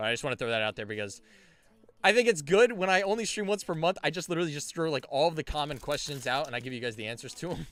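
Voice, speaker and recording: Loud and very fast, a man speaks at a fairly high pitch with very wide pitch swings. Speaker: card game streamer and store owner. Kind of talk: live stream case opening chat. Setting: live stream. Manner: casual, energetic.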